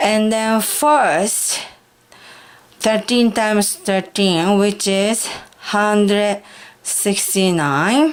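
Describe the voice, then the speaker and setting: A woman of medium pitch speaks with a Japanese accent at a very slow pace, with ordinary pitch variation and long, frequent pauses. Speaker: high school math teacher. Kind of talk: math tutorial lesson.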